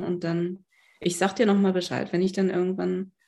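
Her voice has a dark, mellow quality. She talks in a flat, monotone way. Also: very clean recording, silent background. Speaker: psychiatrist and body psychotherapist. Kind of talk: interview conversation.

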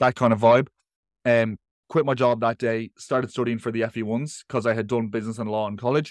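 Delivered at a very fast pace with monotone, flat intonation, this voice has an Irish accent and a dry, close sound with no echo. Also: man, medium pitch for a man. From Ireland. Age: 20s. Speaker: online coach, nutritionist and teacher. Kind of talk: casual chat.

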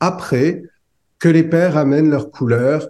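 Somewhat breathy delivery in a dark, mellow tone, at a fairly slow pace with ordinary pitch variation. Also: man. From France. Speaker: psychologist and author. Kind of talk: interview.

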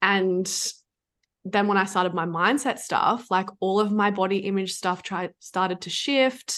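Against a quiet background, a woman with a normal speaking voice talks at a fairly slow pace, her medium pitch held to fairly even intonation. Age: 20s. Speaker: food freedom and business coach. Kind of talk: casual chat.

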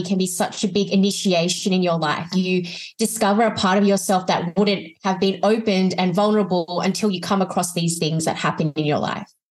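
Speaking with an Australian accent at a fairly quick pace, a woman keeps her medium pitch, fairly even intonation and very even loudness, with hardly any pauses. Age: 20s. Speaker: life coach and author. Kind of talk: casual interview chat.

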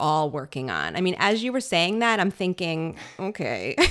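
With lively intonation, a woman speaks at a medium pitch in an unremarkable speaking voice. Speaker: parenting podcast host, pediatric occupational therapist. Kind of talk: casual conversational podcast chat. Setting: home makeshift studio.

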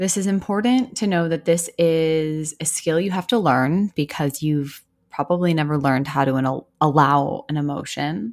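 In a soothing, gentle tone, a woman with a very deep, low pitch speaks with lively intonation and hardly any pauses. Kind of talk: guided meditation. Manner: slow, soothing, gentle, with calm pauses and deep breaths.

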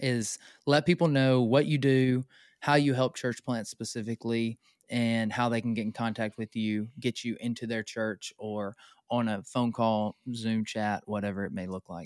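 In a very clean, dry, close recording with no echo and a silent background, a man uses a plain, everyday voice at a medium pitch, moderate pace, and ordinary pitch variation. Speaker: podcast host, church planter. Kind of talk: casual interview. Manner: jokey, laughs often.

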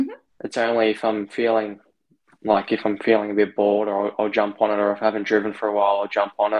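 With an Australian accent, a man rattles along at a very fast pace in a fairly low, monotone, flat intonation. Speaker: racing driver. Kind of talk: interview.

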